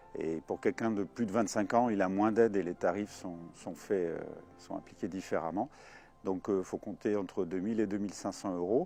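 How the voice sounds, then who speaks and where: Music plays in the background. The voice keeps fairly even intonation at a moderate pace. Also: man, fairly low pitch for a man. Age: 60s. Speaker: gliding club president and flight instructor. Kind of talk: casual interview. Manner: hesitant with frequent fillers.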